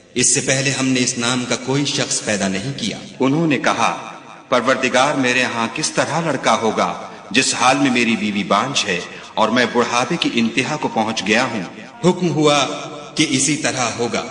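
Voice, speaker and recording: Amid noticeable background noise, a man speaks at medium pitch with ordinary pitch variation. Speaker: Quran translation narrator. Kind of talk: religious scripture reading.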